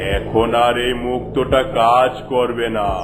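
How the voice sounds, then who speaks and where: This is a cartoonish character voice at a moderate pace. Loud background noise runs underneath. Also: man, medium pitch for a man. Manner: solemn, oracular.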